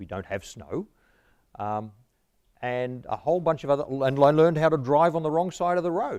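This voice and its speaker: This is a man talking with an Australian accent. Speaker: history professor. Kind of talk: lecture.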